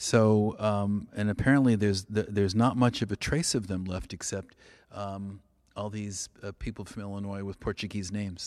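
With an American accent, a man speaks at a moderate pace in a fairly low pitch and fairly even intonation. The recording is very clean, and the background is silent. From California. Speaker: radio host. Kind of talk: casual radio chat. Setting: radio studio. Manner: halting, many fillers.

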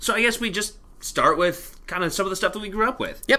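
A man talks with a Canadian accent in a bright, sharp tone. The recording is very clean, with a silent background. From Canada (Alberta). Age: 30s. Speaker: podcast co-host. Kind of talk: casual chat.

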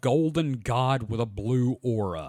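The man's voice is an unremarkable speaking voice at a medium pitch. His intonation is lively. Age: 40s. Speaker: podcast host. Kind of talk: casual chat.

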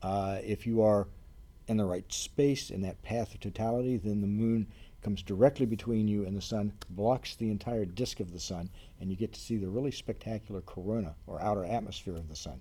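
A man's fairly low voice, dark and mellow in tone, at a fairly quick pace. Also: ordinary pitch variation. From Ohio, US Midwest. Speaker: planetarium curator. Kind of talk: interview conversation.

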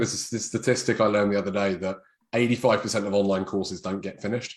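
A man speaks in a British accent. His pace is moderate. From England. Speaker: chiropractor.

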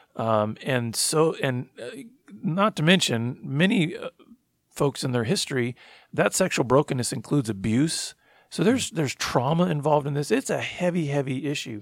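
A man with an ordinary speaking voice and a fairly high pitch talks at a moderate pace with lively intonation, in a very clean recording with a silent background. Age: 40s. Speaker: ministry founder and director. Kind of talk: interview testimony.

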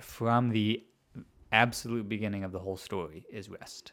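With an American accent, a man uses a normal speaking voice at a fairly low pitch, with ordinary pitch variation and a moderate pace. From US Midwest, Chicago area. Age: 20s. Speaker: podcast host. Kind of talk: casual chat. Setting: studio.

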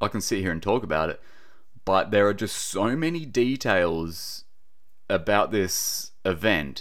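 Lively intonation marks a man with an Australian accent who talks at a fairly slow pace in a fairly low pitch. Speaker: podcaster and wildlife relocator. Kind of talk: casual solo podcast monologue. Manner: casual, chatty, informal.

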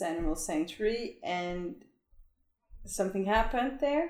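Speaking at a fairly slow pace, a woman with a Danish accent uses lively intonation. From Denmark. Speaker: long-term traveling parent. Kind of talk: casual chat.

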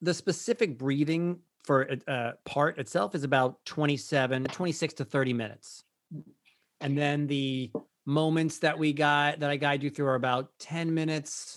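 The speaker has an ordinary speaking voice with ordinary pitch variation. The pace is fairly slow. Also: man, fairly high pitch for a man. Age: 50s. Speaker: Broadway performer and breathwork teacher. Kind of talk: interview.

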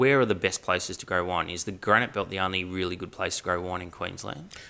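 This man has an Australian accent, a bright, sharp tone and lively intonation. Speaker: podcast host. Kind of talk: casual chat.

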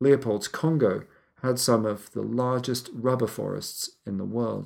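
A man at a medium pitch with ordinary pitch variation, in an unremarkable speaking voice. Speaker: podcast narrator. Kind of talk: history documentary narration. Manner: measured, authoritative storyteller; steady, serious, gravely somber.

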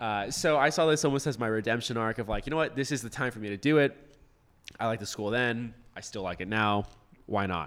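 A man with an American accent speaks in a plain, everyday voice at a medium pitch. His pace is fairly quick, and his pitch varies in an ordinary way. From Florida, West Palm Beach. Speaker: grad student. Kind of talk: casual chat.

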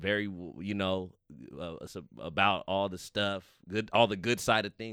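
A man's bright, sharp voice with an American accent, fairly even intonation and big swings in loudness, in a dry, close sound with no echo on a very clean recording with a silent background. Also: fairly low pitch for a man, moderate pace. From Fresno, California. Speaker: stand-up comedian. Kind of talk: casual chat.

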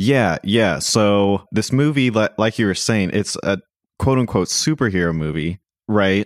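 Over a very clean recording with a silent background and a dry, close sound with no echo, a man with an unremarkable speaking voice talks fairly slowly at a fairly low pitch, his intonation lively. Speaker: podcast co-host, film discussion. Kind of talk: casual chat.

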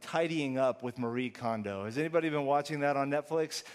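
A man with an American accent speaks in a normal speaking voice, pitched fairly high. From Texas, Houston. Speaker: pastor. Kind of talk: sermon.

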